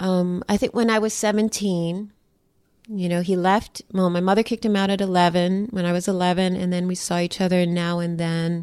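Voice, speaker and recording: A woman with an American accent, medium pitch, monotone, flat intonation and a moderate pace, on a very clean recording with a silent background. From New York. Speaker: artist. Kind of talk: interview. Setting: her home.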